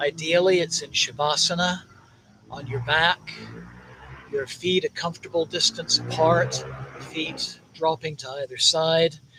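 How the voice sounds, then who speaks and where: Through noticeable background noise, a man talks fairly slowly at a fairly high pitch with fairly even intonation. His loudness swings a lot, and he takes long, frequent pauses. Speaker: meditation teacher at a temple. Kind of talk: guided meditation.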